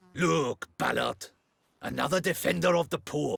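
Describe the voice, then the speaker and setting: A raspy, put-on character voice speaks at a moderate pace with a dry, close sound and no echo. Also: man. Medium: video game. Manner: contemptuous, threatening.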